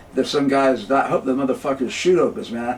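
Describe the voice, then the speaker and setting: With noticeable background noise behind him, a man speaks at a fairly quick pace. His pitch is fairly high. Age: 70s. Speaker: jazz clarinetist. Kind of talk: casual interview.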